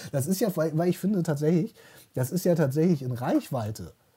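The voice belongs to a man with a dark, mellow tone. He keeps a fairly quick tempo. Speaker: podcast co-host. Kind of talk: casual chat.

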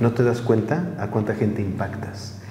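A man talks at a medium pitch. Audible room echo and noticeable background noise surround his voice. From Mexico City area. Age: 40s. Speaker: tourism entrepreneur. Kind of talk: interview.

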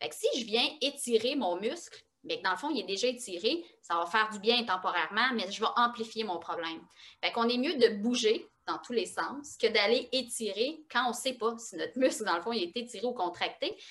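The speaker has a Quebec accent and talks at a moderate pace. The intonation is lively. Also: woman, fairly high pitch for a woman. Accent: Québécois French. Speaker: osteopath and kinesiologist. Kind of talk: interview.

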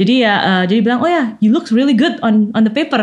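Somewhat breathy and fairly high, a woman's voice moves at a fairly quick pace with lively intonation. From Indonesia, Malang (East Java). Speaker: scientist. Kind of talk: interview. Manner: frequent code-switching into English.

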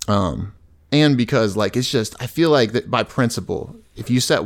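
A man has a normal speaking voice at a medium pitch, with ordinary pitch variation. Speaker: army veteran. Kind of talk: casual chat.

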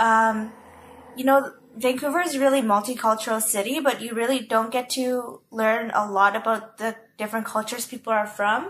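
A woman with an unremarkable speaking voice talks at a moderate pace with a fairly high pitch and fairly even intonation. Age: 20s. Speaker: student podcast host. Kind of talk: casual interview.

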